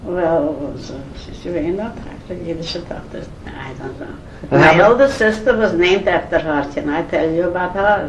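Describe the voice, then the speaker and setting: Lively intonation and big swings in loudness at a moderate pace, over noticeable background noise. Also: woman, fairly low pitch for a woman. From Eastern Europe. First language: Yiddish. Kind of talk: family oral history interview answer.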